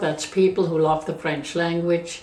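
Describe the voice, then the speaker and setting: A woman speaks at a moderate pace with a Swiss German accent. Noticeable background noise runs underneath. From Switzerland. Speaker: interviewee. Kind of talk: life story interview. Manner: halting.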